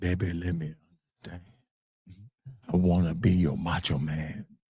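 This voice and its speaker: Using a put-on character voice, a man speaks at a moderate pace with very deep, low pitch, fairly even intonation and big swings in loudness. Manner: smooth, seductive.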